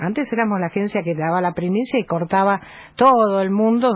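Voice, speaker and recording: Somewhat breathy speech from a woman at medium pitch, fairly quick in pace, with ordinary pitch variation. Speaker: journalist and news agency editor. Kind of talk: radio interview.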